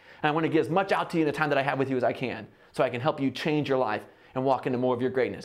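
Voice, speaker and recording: The speaker is a man. His tone is animated. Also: quiet background. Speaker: motivational speaker. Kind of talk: keynote sales pitch. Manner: fast.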